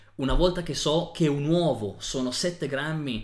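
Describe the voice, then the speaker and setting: A man talks at a fairly slow pace with a normal speaking voice and a fairly high pitch. His pitch varies in an ordinary way over a quiet background. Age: 30s. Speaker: nutrition educator. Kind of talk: tutorial. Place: home room.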